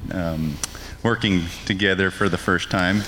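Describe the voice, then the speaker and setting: Against noticeable background noise, a man's pitch varies in an ordinary way. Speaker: ranch manager. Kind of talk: casual interview.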